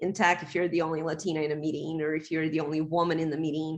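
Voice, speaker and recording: A woman with a non-native accent speaks against a quiet background. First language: not English. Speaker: tech professional, panelist. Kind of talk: panel discussion.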